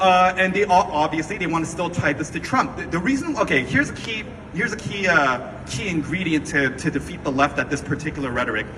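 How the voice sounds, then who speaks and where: A man's high-pitched, very fast, animated voice in a General American accent, lively in intonation, over noticeable background noise. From US, Korean American. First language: Korean. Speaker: activist, movement founder. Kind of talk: speech to audience.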